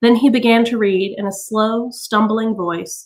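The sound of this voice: Fairly even intonation in an unforced reading voice, against a quiet background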